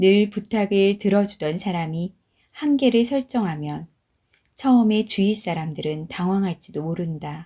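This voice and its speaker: In a calm, somewhat breathy voice of medium pitch with ordinary pitch variation, a woman talks at a fairly slow pace on a very clean recording with a silent background. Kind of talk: audiobook reading. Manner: calm, slow.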